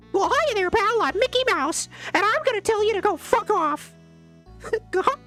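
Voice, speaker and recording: A put-on character voice, extremely high in pitch, at a moderate pace over clear background music. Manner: mock-cheerful and crude.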